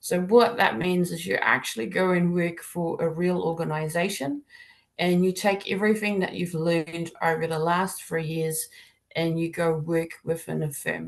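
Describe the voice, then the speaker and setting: A woman speaks with a South African accent. Her pitch is fairly low and her pace moderate. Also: ordinary pitch variation. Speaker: accounting degree program leader. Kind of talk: webinar presentation. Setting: online webinar. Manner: informal, many fillers.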